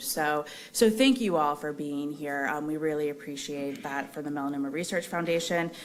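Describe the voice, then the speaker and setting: In audible room echo, a woman with a very deep, low pitch speaks with ordinary pitch variation. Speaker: foundation representative and melanoma survivor. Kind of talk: conference remarks. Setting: conference hall with audience and microphone. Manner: loud.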